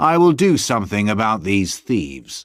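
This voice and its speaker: A put-on character voice at a moderate pace, with very wide pitch swings, on a very clean recording with a silent background. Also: man. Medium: read story. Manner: domineering, intimidating.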